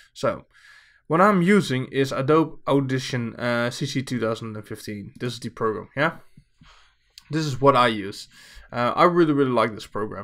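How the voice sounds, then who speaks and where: A Dutch accent at a moderate pace, broken by long, frequent pauses, on a very clean recording with a silent background. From Netherlands. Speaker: streamer. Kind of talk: tutorial. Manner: casual with many fillers.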